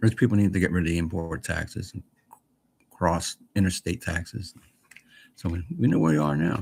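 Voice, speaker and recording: Very deep, low, somewhat breathy male voice at a moderate pace, with ordinary pitch variation and long, frequent pauses. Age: 60s. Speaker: retired vlogger. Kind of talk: casual chat. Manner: rambling, halting.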